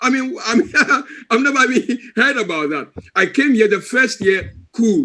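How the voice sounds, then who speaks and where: At an extremely high pitch, a man with an African accent uses a raised, projected voice with a bright, sharp tone and lively intonation at a fairly slow pace. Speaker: wellness coach. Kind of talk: testimony.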